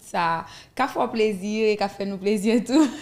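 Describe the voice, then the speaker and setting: A woman with a plain, everyday voice talks at a fairly high pitch with ordinary pitch variation. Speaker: interviewer. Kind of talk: interview. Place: studio. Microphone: studio mic.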